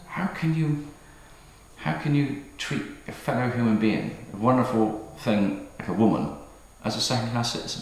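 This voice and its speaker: This speaker has an English accent, very wide pitch swings and a fairly slow pace. The room echo is audible and the background noise is noticeable. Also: man. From England. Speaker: metal band singer. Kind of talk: casual interview. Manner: halting, repetitive.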